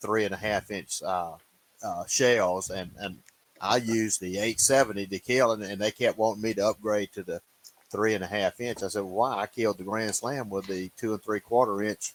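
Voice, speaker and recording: In a Louisiana accent, a man talks at a moderate pace with a fairly low pitch and fairly even intonation, in a dry, close sound with no echo. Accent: US Southern (Louisiana). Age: 70s. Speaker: turkey hunter. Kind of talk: casual chat.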